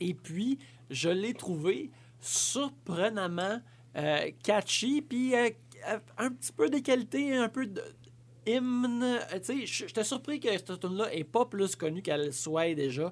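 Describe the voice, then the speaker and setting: A man at a high pitch, very slow pace, very wide pitch swings and long, frequent pauses. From Quebec, Abitibi-Ouest. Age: 30s. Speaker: podcast guest. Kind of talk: casual chat.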